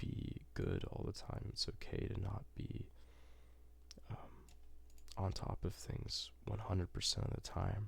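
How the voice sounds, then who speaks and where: A man's soft-spoken whispering with vocal fry, at a fairly slow pace broken by long, frequent pauses. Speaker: ASMR creator. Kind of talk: ASMR gaming ramble. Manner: whispered, soft-spoken.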